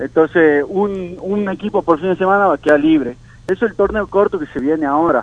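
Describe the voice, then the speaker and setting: A man with a high pitch and ordinary pitch variation speaks at a fairly quick pace. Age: 20s. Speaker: baseball player. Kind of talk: radio interview. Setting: phone call.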